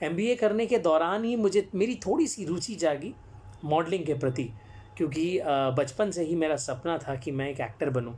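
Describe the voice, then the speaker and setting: Fairly high-pitched, a man's voice moves through very wide pitch swings. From Jamshedpur, Jharkhand, eastern India. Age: 20s. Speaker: actor and storyteller. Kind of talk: live-stream talk. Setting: live social media broadcast. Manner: frequent hesitations.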